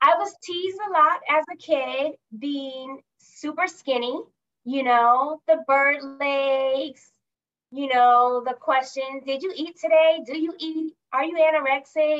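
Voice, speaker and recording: A high-pitched woman's voice with an American accent, very slow pace and ordinary pitch variation. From California. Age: 40s. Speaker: executive assistant and entrepreneur. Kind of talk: casual interview.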